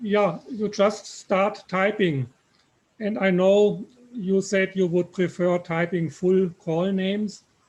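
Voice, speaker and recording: With a German accent, a man speaks at a very slow pace in a high pitch. His intonation stays fairly even. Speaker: software developer. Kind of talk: software Q&A on video call.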